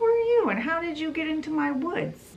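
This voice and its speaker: A woman speaks at a moderate pace in a squeaky, put-on character voice with extremely high pitch. Background noise is clearly audible. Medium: solo performance.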